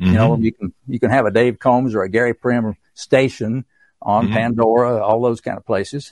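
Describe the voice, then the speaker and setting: Speaking at a fairly quick pace with an East Tennessee accent, a man holds a medium pitch and fairly even intonation. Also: dry, close sound with no echo. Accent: East Tennessee Southern US. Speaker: author and songwriter. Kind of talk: casual interview, storytelling.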